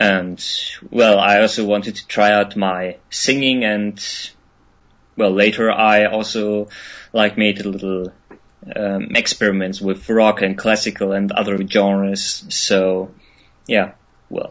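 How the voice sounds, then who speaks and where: With a German accent, a man speaks fairly low and fairly slowly in a flat monotone, pausing long and often. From Germany. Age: 20s. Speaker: musician. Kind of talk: interview. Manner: hesitant, many fillers.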